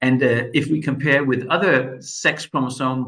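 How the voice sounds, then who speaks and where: A man with a Danish accent speaks at a medium pitch. His pace is moderate. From Denmark. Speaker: medical expert. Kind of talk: lecture.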